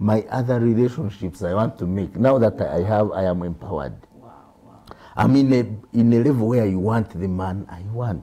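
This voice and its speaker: Speaking at a fairly low pitch with lively intonation, a man keeps a moderate pace. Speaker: senior media producer; talk show guest. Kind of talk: panel discussion. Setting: studio. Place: studio. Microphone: lapel.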